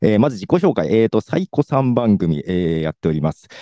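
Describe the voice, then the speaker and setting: A man's voice has a dark, mellow tone and very wide pitch swings. The sound is dry and close with no echo. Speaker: podcaster. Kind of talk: short presentation. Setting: video call. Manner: fast.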